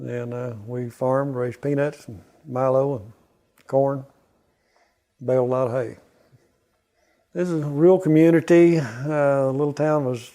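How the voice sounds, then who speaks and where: A dark, mellow tone in a Southern US accent, at a fairly slow pace with long, frequent pauses, fairly even intonation and big swings in loudness. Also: man. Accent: Southern US (Oklahoma). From southeastern Oklahoma, USA. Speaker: Vietnam War veteran, beef industry manager. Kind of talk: interview answer.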